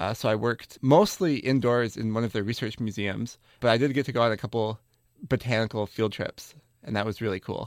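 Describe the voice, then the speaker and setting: A man with an American accent uses a normal speaking voice at a medium pitch, moving at a fairly quick pace with fairly even intonation. The recording is very clean, with a silent background. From US Midwest, Wisconsin. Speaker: graduate student botanist. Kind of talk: interview.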